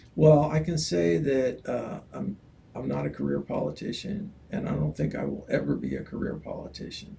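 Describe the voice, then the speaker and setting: Noticeable background noise sits behind the voice. The man speaks at a moderate pace. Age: 70s. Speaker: political candidate. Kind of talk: interview. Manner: halting.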